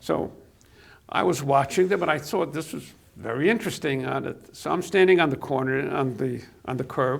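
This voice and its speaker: At a moderate pace, a man speaks with vocal fry and a fairly high pitch. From Albany, New York (came from Poland at age 5). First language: Yiddish. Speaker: local businessman recalling his youth. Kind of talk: interview, reminiscing. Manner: halting, many fillers.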